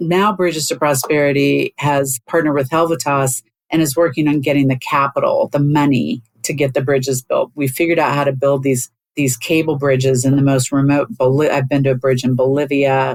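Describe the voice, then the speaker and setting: Fairly quick and fairly even in intonation, a woman speaks with a very deep, low pitch. The sound is dry and close, with no echo. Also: very even loudness. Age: 60s. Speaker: executive coach and former board chair. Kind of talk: interview conversation.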